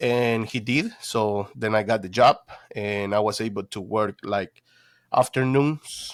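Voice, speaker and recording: At a fairly slow pace, a man with a Spanish accent speaks at medium pitch with ordinary pitch variation, in a dry, close sound with no echo. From Guatemala. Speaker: detailing business owner. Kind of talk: interview, personal story. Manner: halting, many fillers.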